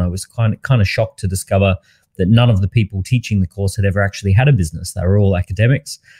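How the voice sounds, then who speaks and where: The somewhat breathy voice has a dark, mellow tone and ordinary pitch variation, recorded with a dry, close sound and no echo. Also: man. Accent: Australian. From Australia. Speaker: entrepreneur and author. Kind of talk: interview. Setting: online live interview.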